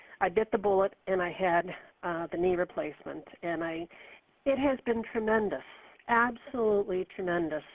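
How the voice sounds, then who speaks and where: With an ordinary speaking voice, a woman talks at a moderate pace and a medium pitch, with ordinary pitch variation. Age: 60s. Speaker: caller, arthritis patient. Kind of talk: call-in question.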